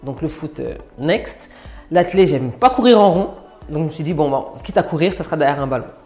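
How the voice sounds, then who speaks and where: With music in the background, a woman speaks at a fairly quick pace in a very deep, low pitch. Her intonation is lively and her loudness swings widely. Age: 30s. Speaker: former basketball player, sports manager. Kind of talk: interview testimony. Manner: frequent hesitations (euh).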